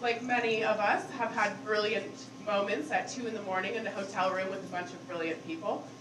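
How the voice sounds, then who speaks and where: The voice shows ordinary pitch variation, heard through audible room echo and noticeable background noise. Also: woman. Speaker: conference speaker. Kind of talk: conference talk. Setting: stage with audience. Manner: loud; casual, filler-heavy.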